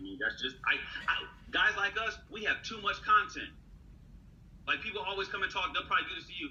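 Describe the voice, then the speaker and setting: A man speaks at a very fast pace, leaving long, frequent pauses. His loudness swings widely. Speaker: leadership speaker and executive coach. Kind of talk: casual chat. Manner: animated.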